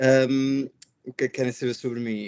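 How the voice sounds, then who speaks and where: A man talks fairly quickly at medium pitch with monotone, flat intonation, recorded with a dry, close sound and no echo. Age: 30s. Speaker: education nonprofit director. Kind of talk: webinar panel discussion.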